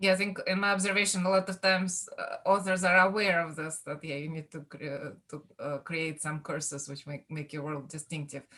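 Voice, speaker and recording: A woman at a fairly low pitch, fairly quick and with hardly any pauses, her intonation fairly even and her loudness swinging widely. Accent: Russian. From Russia. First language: Russian. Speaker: author. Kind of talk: panel discussion.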